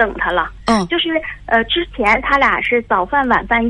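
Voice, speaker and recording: A woman with lively intonation and fairly high pitch, at a moderate pace, over noticeable background noise. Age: 40s. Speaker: caller, mother of a teenage daughter. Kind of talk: call-in advice conversation. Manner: halting, many fillers.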